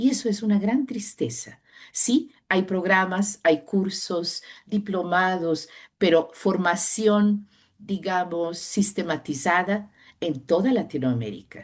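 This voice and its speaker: A woman with a non-native accent at a very slow pace and a fairly low pitch, against a quiet background. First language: not Spanish (speaking Spanish). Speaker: sinologist professor. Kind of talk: interview.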